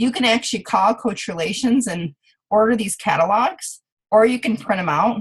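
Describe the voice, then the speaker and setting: Her voice sits fairly high and sounds somewhat breathy as the woman speaks with lively intonation. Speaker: fitness business coach. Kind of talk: tutorial. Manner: fast; casual, many fillers.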